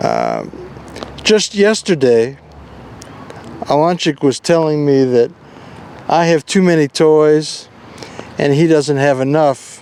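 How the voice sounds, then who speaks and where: Against noticeable background noise, a man with an American accent speaks at a fairly high pitch and a very slow pace, with long, frequent pauses and very even loudness. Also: ordinary pitch variation. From US South, New Orleans, Louisiana. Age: 70s. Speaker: father recording memoirs. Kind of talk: casual personal reminiscence. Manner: halting.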